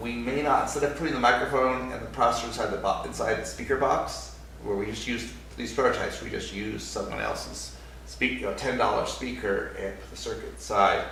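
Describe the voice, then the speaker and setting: Over noticeable background noise and audible room echo, a man speaks at a fairly quick pace with big swings in loudness. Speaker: hardware startup founder. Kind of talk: product demo. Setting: recorded on a separate microphone. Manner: halting.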